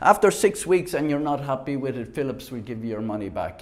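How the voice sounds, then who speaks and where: A man's fairly high voice with an Irish accent. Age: 60s. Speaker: product reviewer. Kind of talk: product demonstration. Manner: halting.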